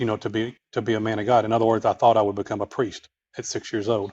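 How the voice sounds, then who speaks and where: The speaker has a Texas accent and talks at a fairly quick pace. The background is quiet. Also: man. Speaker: author and clairvoyant healer. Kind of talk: podcast interview. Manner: halting, many fillers.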